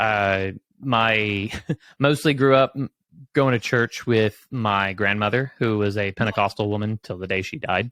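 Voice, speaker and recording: A man with a plain, everyday voice and an American accent, fairly low in pitch, at a fairly slow pace with fairly even intonation, in a very clean, dry, close recording with no echo and a silent background. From southeastern Oklahoma. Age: 30s. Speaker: guest sharing faith story, tech professional. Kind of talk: testimony. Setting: livestream.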